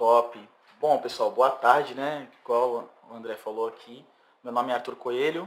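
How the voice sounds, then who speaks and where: A man's plain, everyday voice at a medium pitch, fairly slow and fairly even in intonation, with big swings in loudness. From São Vicente, São Paulo coast, Brazil. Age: 30s. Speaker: singer-songwriter. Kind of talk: casual interview.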